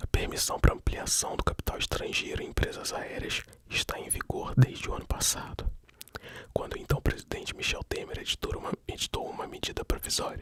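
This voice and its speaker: Over noticeable background noise comes a fairly quick whisper. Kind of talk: ASMR news reading. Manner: whispered.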